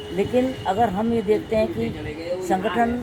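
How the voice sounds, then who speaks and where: A woman's ordinary pitch variation comes through audible room echo and noticeable background noise. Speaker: local politician. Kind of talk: interview.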